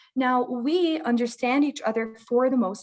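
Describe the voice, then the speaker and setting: A woman with a Lebanese accent, at a moderate pace and with ordinary pitch variation. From Lebanon. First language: Lebanese Arabic. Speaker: parent of a bilingual child. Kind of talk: interview.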